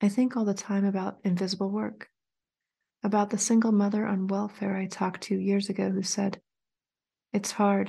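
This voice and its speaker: A woman speaks in a dark, mellow, warm tone that is somewhat breathy, at a medium pitch and in a monotone, flat intonation. Her moderate pace is broken by long, frequent pauses over a quiet background. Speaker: podcast host. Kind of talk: poetry reading, read aloud in a calm, expressive, lyrical cadence. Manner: measured, reflective, warm and intimate.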